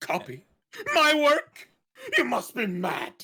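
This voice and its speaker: Pitched high, this put-on character voice moves at a fairly slow pace. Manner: indignant.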